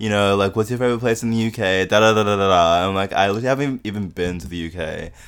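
A man with a fairly low pitch speaks very fast with hardly any pauses and ordinary pitch variation, recorded very cleanly against a silent background. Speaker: podcast host. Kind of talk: casual chat.

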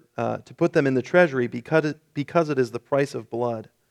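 A man with an unremarkable speaking voice talks fairly quickly at a medium pitch, with fairly even intonation. The recording is very clean, with a silent background. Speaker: pastor. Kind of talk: sermon; scripture reading, solemn KJV passage read aloud in a church service. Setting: church. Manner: formal, somber.

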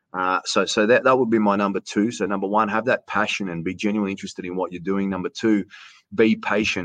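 Someone with an Australian accent speaks at a very fast pace with fairly even intonation. The sound is dry and close with no echo, over a quiet background. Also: man, fairly low pitch for a man. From Australia, Canberra region. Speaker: sports announcer. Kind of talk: casual interview chat.

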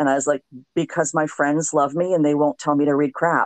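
A woman with an American accent and a very deep, low pitch, in a dry, close sound with no echo and a quiet background. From South Florida. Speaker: podcast host. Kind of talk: casual chat. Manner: animated.

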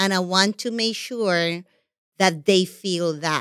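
The voice carries a Puerto Rican accent with ordinary pitch variation. The recording is very clean with a silent background and a dry, close sound with no echo. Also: woman. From Puerto Rico. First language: Spanish. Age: 50s. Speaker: television executive. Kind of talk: podcast interview.

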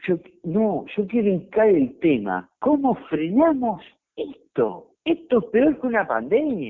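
The speech moves at a very slow pace with very wide pitch swings. Loudness stays very even throughout. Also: man, high pitch for a man. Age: 40s. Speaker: football podcast host. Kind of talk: casual sports talk. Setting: remote call with co-host.

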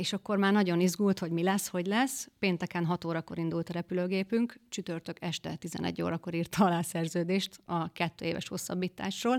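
A woman with an unremarkable speaking voice talks in a fairly low pitch with fairly even intonation and hardly any pauses. The recording is very clean and dry, close with no echo and a silent background. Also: moderate pace. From Western Hungary, near Győr. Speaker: guest, footballer's wife. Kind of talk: casual interview. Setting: studio.

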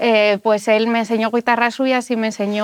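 With a fairly high pitch and monotone, flat intonation, a woman speaks at a moderate pace in a dry, close sound with no echo. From Spain, Asturias (Gijón). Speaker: musician. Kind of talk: interview.

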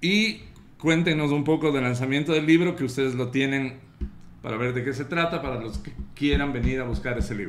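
A man talks fairly quickly, and room echo can be heard around him. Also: fairly high pitch for a man, ordinary pitch variation. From Quito, Ecuador. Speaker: podcast host. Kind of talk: casual chat. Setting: bookstore studio.

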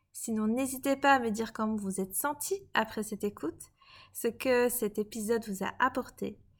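A woman with a fairly high pitch speaks in a normal speaking voice, with ordinary pitch variation. The recording is very clean, with a silent background. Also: moderate pace. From Belgium, Liège. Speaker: podcast host and coach. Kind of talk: podcast narration.

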